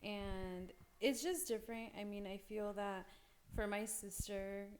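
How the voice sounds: The speech moves at a fairly slow pace with fairly even intonation. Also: woman, medium pitch for a woman.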